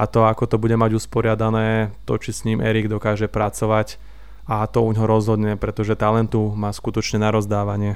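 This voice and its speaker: In a fairly low monotone, a man speaks at a moderate pace with flat intonation. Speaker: football fan podcast co-host. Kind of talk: casual chat.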